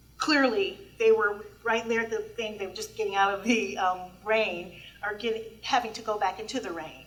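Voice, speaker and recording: Fairly slow speech from a woman with a fairly high pitch and audible room echo. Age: 60s. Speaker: public commenter at transit board meeting. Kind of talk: public comment at a meeting.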